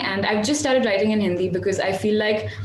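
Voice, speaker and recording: Amid noticeable background noise and audible room echo, a woman speaks very fast at a fairly high pitch. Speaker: independent singer. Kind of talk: interview. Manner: halting.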